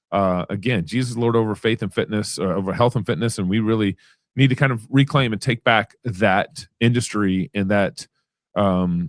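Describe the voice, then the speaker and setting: Speaking with a Texas accent, a man is heard on a very clean recording with a silent background. The sound is dry and close, with no echo. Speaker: podcast host. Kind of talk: interview.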